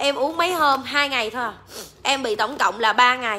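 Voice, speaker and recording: Raised and projected, a woman's high-pitched voice moves at a fairly slow pace. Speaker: livestream seller. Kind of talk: casual livestream chat. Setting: live stream online. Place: shop. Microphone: phone near.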